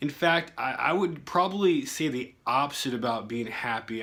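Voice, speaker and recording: A man's fairly high, bright, sharp voice, animated in tone with lively intonation, in a very clean recording over a silent background. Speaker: vlogger. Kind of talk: casual vlog monologue. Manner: fast.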